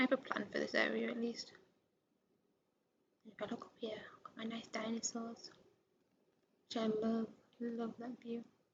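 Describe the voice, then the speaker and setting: Speaking at a fairly slow pace, a woman uses a fairly high pitch with vocal fry. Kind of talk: casual game tour narration. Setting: headset microphone.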